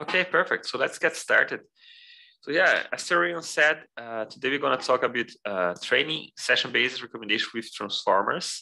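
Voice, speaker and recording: With a quiet background behind him, a man speaks at a moderate pace in a bright, sharp, fairly high voice with vocal fry and very wide pitch swings. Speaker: machine learning engineer presenting a talk. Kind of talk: technical presentation. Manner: hesitant, many fillers.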